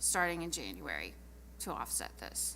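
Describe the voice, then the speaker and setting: Speech comes at a moderate pace with audible room echo. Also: woman. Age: 60s. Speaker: city council member. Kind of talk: council meeting debate.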